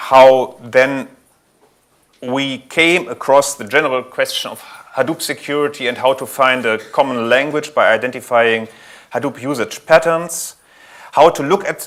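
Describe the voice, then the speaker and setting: Spoken with a German accent, the voice swings widely in loudness. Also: man, medium pitch for a man, ordinary pitch variation, moderate pace. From Germany. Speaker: IT security architect at a bank. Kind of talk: conference talk. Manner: frequent fillers and self-corrections.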